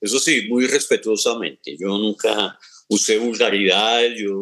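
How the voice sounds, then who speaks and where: At a fairly slow pace, the speech comes through in a bright, sharp tone. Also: man. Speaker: radio presenter. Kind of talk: interview. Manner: halting.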